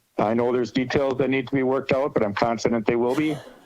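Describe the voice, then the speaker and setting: This is a man talking. His voice is pitched in the middle range. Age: 60s. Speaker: small farmer, public commenter. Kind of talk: public comment at a meeting.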